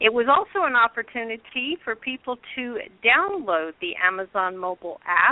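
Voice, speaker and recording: Speaking at a fairly slow pace, a woman uses a normal speaking voice with a fairly high pitch. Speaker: radio show host. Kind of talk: internet radio show talk.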